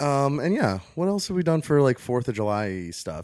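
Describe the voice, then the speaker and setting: In a very clean recording, silent background, a man speaks with a slight Baltimore accent. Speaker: podcast host. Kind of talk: casual chat. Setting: studio.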